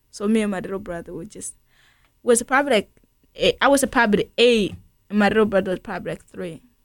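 Speech in a Burundian accent comes at a very fast pace, broken by long, frequent pauses. The recording is very clean with a silent background, the pitch varies in an ordinary way, and the loudness swings a lot. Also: woman, fairly high pitch for a woman. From Burundi, grew up in a refugee camp. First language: Kirundi. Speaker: refugee aid worker. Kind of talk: radio interview.

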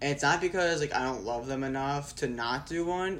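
At a moderate pace, a man with a fairly high pitch uses an ordinary speaking voice with ordinary pitch variation. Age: 20s. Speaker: student and video business owner. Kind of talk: casual chat.

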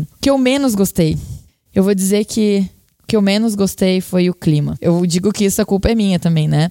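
Recorded with a dry, close sound and no echo, a woman speaks in a dark, mellow tone at a medium pitch. Her pace is fairly quick and her intonation fairly even. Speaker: journalist and university lecturer. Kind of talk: interview.

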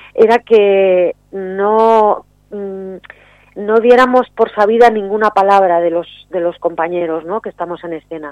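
An unremarkable speaking voice at a fairly slow pace, with fairly even intonation and big swings in loudness. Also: woman, medium pitch for a woman. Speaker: poet. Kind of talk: poetry reading, spoken word; interview. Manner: solemn, measured, declamatory delivery.

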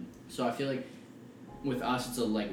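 Amid noticeable background noise, a man speaks with monotone, flat intonation. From British Columbia, Canada. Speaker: young rapper. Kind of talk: casual chat.

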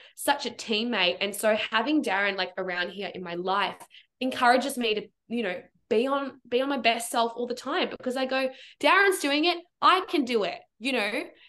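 An animated woman with an Australian accent, high-pitched with a bright, sharp tone, lively intonation and a moderate pace. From Melbourne, Australia. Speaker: performer and creative coach. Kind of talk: casual chat. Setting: video call. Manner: animated, friendly.

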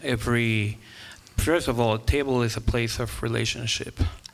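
A man at medium pitch with monotone, flat intonation, a moderate pace and noticeable background noise. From Guatemala. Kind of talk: casual chat.

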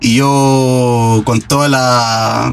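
A man with a Chilean accent and a fairly high pitch, amid noticeable background noise. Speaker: guitarist in a tribute band. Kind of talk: casual interview.

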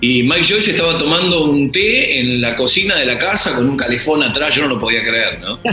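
In a Buenos Aires accent, a man speaks fairly high in pitch with lively intonation, at a fairly quick pace with hardly any pauses and very even loudness, over music in the background and audible room echo. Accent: Rioplatense Spanish (Buenos Aires). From Argentina, Greater Buenos Aires south (Lomas de Zamora). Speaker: music magazine director and radio host. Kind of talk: casual interview.

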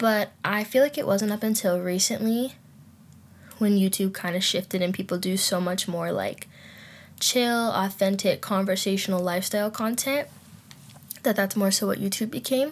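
A woman speaks at a moderate pace in a somewhat breathy, medium-pitched voice with ordinary pitch variation. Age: 20s. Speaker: podcast host. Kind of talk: casual chat. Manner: animated.

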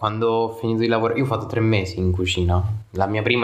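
Over noticeable background noise and audible room echo, a man speaks very fast in a flat, monotone delivery at a fairly low pitch. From southern Italy. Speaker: podcast host. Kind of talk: casual chat.

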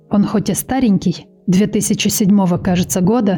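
A woman speaks at a fairly slow pace in a medium pitch, with music playing in the background. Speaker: true crime podcaster. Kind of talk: casual chat. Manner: improvised.

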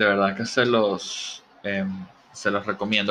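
A man speaks in a fairly low voice with a bright, sharp tone. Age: 30s. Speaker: podcast host. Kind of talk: casual solo monologue. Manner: hesitant, filler-heavy.

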